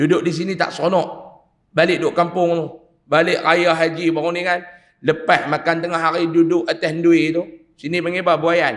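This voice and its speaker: An animated man with a high pitch at a moderate pace amid audible room echo. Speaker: Islamic preacher. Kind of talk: religious lecture. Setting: mosque with congregation.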